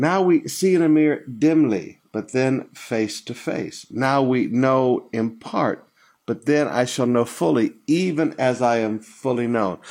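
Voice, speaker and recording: A man with an unremarkable speaking voice, medium pitch, lively intonation and a fairly slow pace, on a very clean recording with a silent background. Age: 60s. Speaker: pastor. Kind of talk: sermon.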